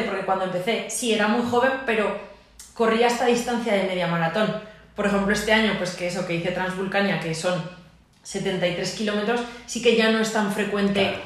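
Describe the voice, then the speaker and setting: A woman talks at a medium pitch and a moderate pace with ordinary pitch variation. Audible room echo and noticeable background noise surround her voice. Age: 30s. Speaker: physiotherapist and trail runner. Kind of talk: casual interview. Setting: physiotherapy clinic.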